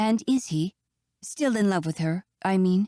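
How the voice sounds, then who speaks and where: This is a put-on character voice at a middle pitch. The pace is moderate. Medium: read story. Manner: fidgety and emotional.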